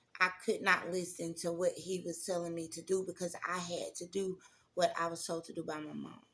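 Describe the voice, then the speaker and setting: In a Southern accent, a woman with a fairly low pitch and a bright, sharp tone speaks at a moderate pace in a monotone, flat way, with big swings in loudness. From Mississippi, US South. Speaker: testimony vlogger. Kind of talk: personal testimony. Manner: conversational, many fillers.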